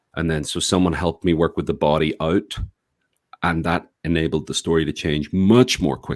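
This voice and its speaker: A man with a Northern Irish accent speaks at a moderate pace in a very deep, low pitch, with ordinary pitch variation. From Northern Ireland, Belfast. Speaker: writer and activist. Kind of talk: podcast interview.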